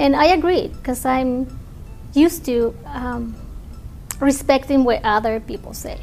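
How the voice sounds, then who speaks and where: A woman with a Spanish accent and high pitch, at a fairly slow pace with long, frequent pauses, ordinary pitch variation, big swings in loudness, and music in the background. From Mexico. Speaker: scientific researcher. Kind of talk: interview.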